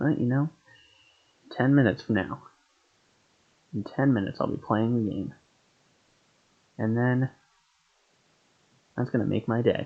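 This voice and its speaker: A man talks quietly at a medium pitch and moderate pace, with ordinary pitch variation. He leaves long, frequent pauses. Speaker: gaming streamer. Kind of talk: live game stream chat. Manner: speaking quietly.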